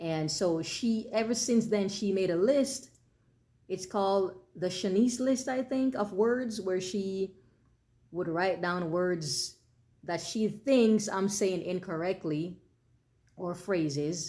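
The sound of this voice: Speaking very slowly in a Jamaican accent, a woman uses a medium pitch, a dark, mellow tone, and lively intonation.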